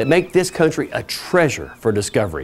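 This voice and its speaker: Pitched fairly high, a man's voice makes very wide pitch swings. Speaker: TV presenter. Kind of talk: TV travel show host presentation. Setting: outdoors. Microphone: lapel.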